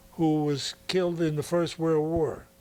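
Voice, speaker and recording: The speaker has an American accent, heard over noticeable background noise. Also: man. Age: 80s+. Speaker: produce store owner. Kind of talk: interview answer.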